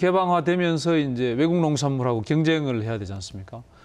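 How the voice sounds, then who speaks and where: A man with lively intonation. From South Korea. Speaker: government agency head; guest. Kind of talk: TV interview. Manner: formal. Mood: friendly, smiling. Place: studio.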